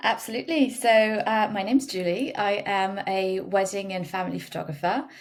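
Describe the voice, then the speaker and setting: A woman with a slight French accent, ordinary pitch variation and a moderate pace. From France. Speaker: wedding photographer. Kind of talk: podcast interview.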